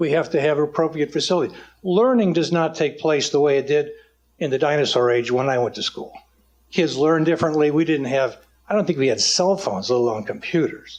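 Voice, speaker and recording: A man has a plain, everyday voice at a fairly high pitch. He talks at a fairly quick pace with very even loudness. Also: ordinary pitch variation. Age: 60s. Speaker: public commenter at town meeting. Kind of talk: public comment speech. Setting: town council meeting hall.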